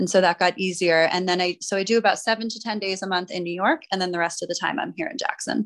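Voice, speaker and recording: A woman speaks at a very fast pace with hardly any pauses. Her pitch is medium, and its variation is ordinary. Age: 30s. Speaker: nurse and nutritionist. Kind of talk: casual interview. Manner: halting, frequent fillers.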